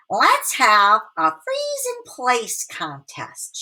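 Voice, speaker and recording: Very slowly, a woman works through her lines in a put-on character voice. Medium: read story. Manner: boastful.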